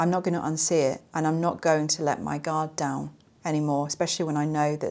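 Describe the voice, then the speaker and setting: A woman speaks in an unremarkable speaking voice, fairly low in pitch and fairly even in intonation. The recording is very clean, with a silent background. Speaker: survivor advocate and comedy skit creator. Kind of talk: podcast monologue.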